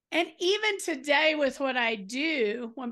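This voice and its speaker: A woman speaks in a raised, projected voice at a high pitch. Her pitch swings very widely. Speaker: podcast host. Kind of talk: casual interview conversation.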